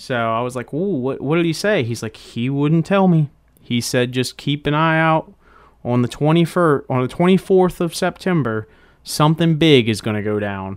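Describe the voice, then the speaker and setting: A man speaks at a moderate pace with lively intonation and a fairly high pitch. His is an unremarkable speaking voice. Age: 20s. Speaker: podcast host. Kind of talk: casual solo monologue. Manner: casual, filler-heavy.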